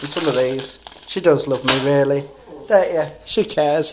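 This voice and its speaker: A man speaks over light background noise. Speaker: father vlogger. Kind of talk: casual vlog chat. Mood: teasing, warm.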